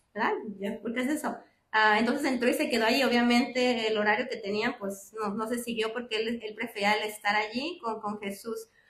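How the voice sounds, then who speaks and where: Fairly high in pitch, a woman talks at a fairly quick pace with fairly even intonation. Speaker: lay speaker giving a reflection at a church class. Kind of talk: religious talk. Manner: fast; many filler sounds (ah, am, este).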